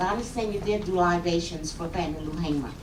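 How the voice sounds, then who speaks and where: A woman with an Alabama accent is heard through noticeable background noise and audible room echo. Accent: Southern US, Alabama. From US South, Montgomery, Alabama. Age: 60s. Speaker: activist. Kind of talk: audience comment at public forum. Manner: halting, repetitive starts.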